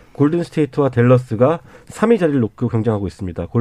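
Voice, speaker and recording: Speaking at a very fast pace, a man uses a medium pitch with very wide swings and a dark, mellow tone. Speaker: basketball journalist. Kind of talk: sports talk radio panel. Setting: radio studio.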